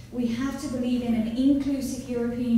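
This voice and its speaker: A woman talks at a fairly quick pace with fairly even intonation. Noticeable background noise and audible room echo fill the recording. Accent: English. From England, Nottingham. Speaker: policy analyst. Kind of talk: conference speech. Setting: conference panel with audience.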